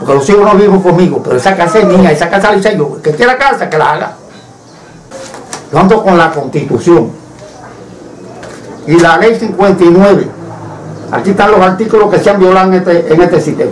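Over light background noise, a man with a high pitch talks at a fairly quick pace with ordinary pitch variation and long, frequent pauses. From Cuba. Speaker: citizen denouncing injustice. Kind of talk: testimony to camera. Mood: indignant, aggrieved. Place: home room. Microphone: camera far.

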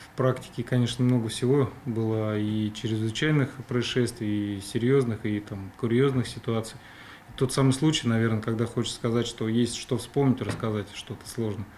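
Over light background noise, a man speaks at a moderate pace. His intonation stays fairly even. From Russia. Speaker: police criminal investigation chief. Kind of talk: TV interview. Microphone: studio mic.

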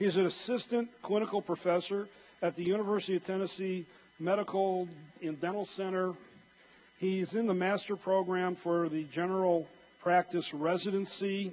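Speaking in a monotone, flat intonation, a man uses a high-pitched voice. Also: moderate pace. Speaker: conference moderator. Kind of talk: speaker introduction. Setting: stage with audience. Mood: warm, lightly joking. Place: hall. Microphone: handheld.

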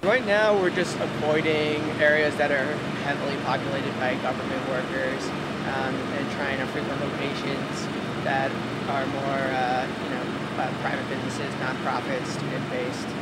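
A man talks at a moderate pace with ordinary pitch variation. Loud background noise runs underneath. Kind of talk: interview answer. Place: street. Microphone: lapel.

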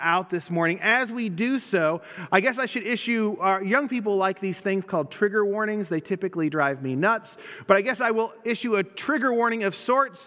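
A man's raised, projected voice at a fairly quick pace. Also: quiet background. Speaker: pastor. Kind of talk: sermon. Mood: light, joking. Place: church.

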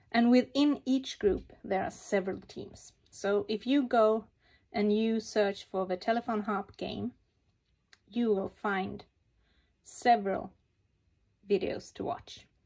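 A woman's fairly high voice in a calm tone, at a very slow pace with long, frequent pauses. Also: ordinary pitch variation. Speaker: papercraft hobbyist. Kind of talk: tutorial. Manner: halting.

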